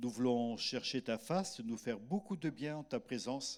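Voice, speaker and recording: On a very clean recording with a silent background, a man talks at a medium pitch and a moderate pace with lively intonation. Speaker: pastor. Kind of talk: church welcome and prayer. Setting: church service.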